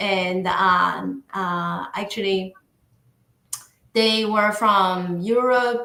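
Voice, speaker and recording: A woman with a Chinese accent speaks very slowly at a medium pitch, with fairly even intonation and long, frequent pauses. Her tone is bright and sharp. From northeastern China. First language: Mandarin Chinese. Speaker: podcast guest. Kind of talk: interview conversation. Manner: halting.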